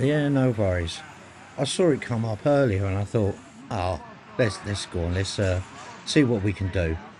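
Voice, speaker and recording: A man with a southern English accent, fairly low in pitch, at a moderate pace with lively intonation and long, frequent pauses. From England, north of London. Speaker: live stream host. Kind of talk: live stream commentary.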